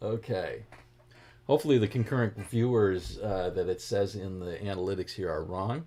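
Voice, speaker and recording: A man talks in a fairly low pitch with an American accent. The recording is very clean, with a silent background. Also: ordinary pitch variation, moderate pace. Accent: Boston accent, leaks occasionally. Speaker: guitar teacher. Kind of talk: livestream guitar lesson, greeting chat viewers. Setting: live stream. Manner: casual, chatty.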